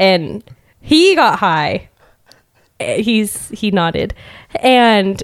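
A woman speaks with a fairly high-pitched voice. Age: 20s. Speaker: hairstylist. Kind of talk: casual chat. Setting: studio.

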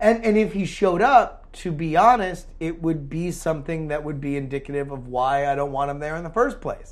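A man with a plain, everyday voice talks at a fairly high pitch with hardly any pauses. His lively intonation comes with big swings in loudness on a very clean recording with a silent background. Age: 30s. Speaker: podcast co-host. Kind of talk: casual chat.

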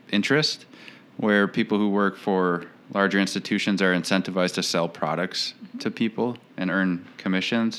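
Pitched fairly low, a man talks with an Upper Midwest accent and a bright, sharp tone. His pace is moderate. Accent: Upper Midwest American. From St. Paul, Minnesota. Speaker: financial planner, business owner. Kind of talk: casual interview chat.

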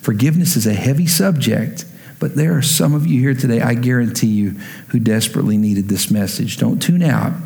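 There is audible room echo around this man, who talks at a fairly quick pace with a medium pitch and lively intonation. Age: 30s. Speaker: pastor. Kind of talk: sermon.

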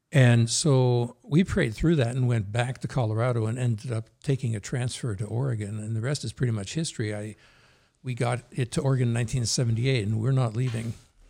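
On a very clean recording with a silent background, a man of medium pitch talks fairly quickly in a dark, mellow, somewhat breathy tone with ordinary pitch variation. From New Jersey, US. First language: Norwegian. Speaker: former police chief. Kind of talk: casual conversational interview.

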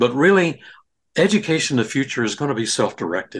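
Lively intonation and vocal fry mark this man's fairly high-pitched voice. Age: 80s+. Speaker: VR pioneer and inventor. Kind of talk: casual interview chat.

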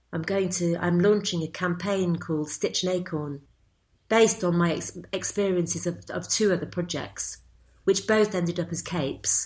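In a northern English accent, a woman speaks at a moderate pace. Her voice is fairly low, with fairly even intonation. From northwest England, Cheshire. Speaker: embroiderer. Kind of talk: interview.

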